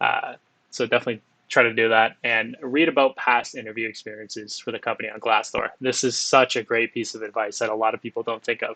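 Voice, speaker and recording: Speaking fairly quickly in a Canadian accent, a man uses a bright, sharp tone at medium pitch with monotone, flat intonation, the sound dry and close with no echo over a quiet background. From Windsor, Ontario, Canada. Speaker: software engineer giving career talk. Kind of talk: presentation to students.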